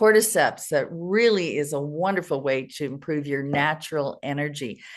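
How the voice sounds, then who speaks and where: A woman with a very deep, low pitch, a moderate pace and ordinary pitch variation. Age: 70s. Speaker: health company co-founder, preventive medicine doctor. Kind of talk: interview. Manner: hesitant with repeated words.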